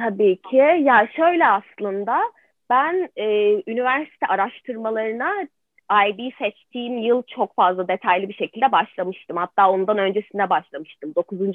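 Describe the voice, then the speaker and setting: A woman with a normal speaking voice talks at a moderate pace, pitched fairly high. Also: lively intonation. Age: 20s. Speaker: art student. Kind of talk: interview.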